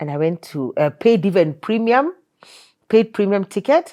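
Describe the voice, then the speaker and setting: A woman's dark, mellow tone with very wide pitch swings. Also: dry, close sound with no echo. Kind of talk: interview testimony. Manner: animated.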